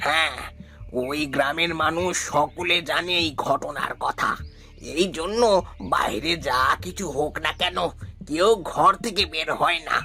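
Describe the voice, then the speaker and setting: With clear music in the background, a man uses a cartoonish character voice at a moderate pace. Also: fairly high pitch for a man. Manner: warm, grave.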